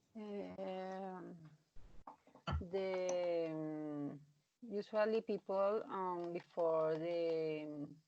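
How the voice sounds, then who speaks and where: In a Colombian accent, a woman speaks very slowly with fairly even intonation and long, frequent pauses. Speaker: English student. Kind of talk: speaking exam practice. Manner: halting, many fillers.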